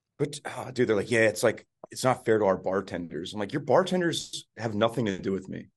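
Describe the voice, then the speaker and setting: In an American accent, a man speaks with an unremarkable speaking voice at a fairly quick pace and medium pitch. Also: lively intonation. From New Jersey. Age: 30s. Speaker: touring musician, podcast co-host. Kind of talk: casual chat. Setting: hotel room.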